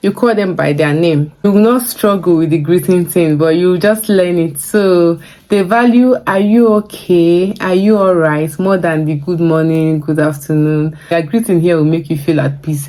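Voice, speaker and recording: A woman with a Nigerian accent speaks at a moderate pace and a fairly low pitch, with ordinary pitch variation. Her loudness stays very even, with hardly any pauses. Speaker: vlogger. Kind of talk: vlog advice talk.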